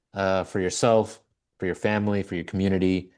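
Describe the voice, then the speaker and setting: Against a quiet background, a man with a very deep, low pitch talks at a fairly quick pace. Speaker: webinar host. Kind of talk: webinar closing remarks.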